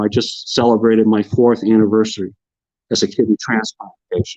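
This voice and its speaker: A man talks at a fairly quick pace and medium pitch. The sound is dry and close with no echo, and his loudness stays very even. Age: 60s. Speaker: online talk show host and kidney transplant patient. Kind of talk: live-streamed talk show monologue. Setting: live online broadcast. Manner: animated; repeats words when starting sentences.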